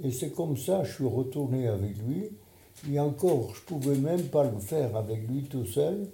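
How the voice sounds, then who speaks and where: A man's somewhat breathy, medium-pitched voice at a fairly slow pace, with lively intonation and audible room echo. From Poland. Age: 90s. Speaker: Holocaust survivor and retired surgeon. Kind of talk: testimony.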